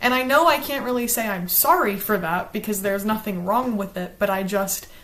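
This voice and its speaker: A woman with a strong Southern US accent talks at a fairly quick pace. Her pitch is medium, with ordinary variation. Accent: Southern accent, she says strong. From US South, South Carolina. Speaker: book reviewer, YouTuber. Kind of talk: casual chat, partly reading from a script.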